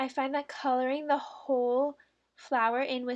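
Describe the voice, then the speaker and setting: The recording is very clean with a silent background. A woman speaks at a high pitch and a fairly slow pace. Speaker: bullet journal youtuber. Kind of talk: tutorial voiceover narration; casual reaction commentary. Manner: slow, awkward with long pauses.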